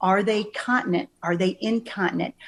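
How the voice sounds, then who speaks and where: A woman with a plain, everyday voice, medium pitch and ordinary pitch variation, at a moderate pace. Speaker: senior care advisor. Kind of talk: interview answer.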